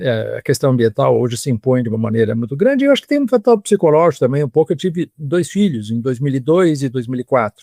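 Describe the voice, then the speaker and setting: A man talks at a very fast pace with lively intonation and a dark, mellow tone. The sound is dry and close, with no echo. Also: fairly high pitch for a man, hardly any pauses. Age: 70s. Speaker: historian. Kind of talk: interview. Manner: halting.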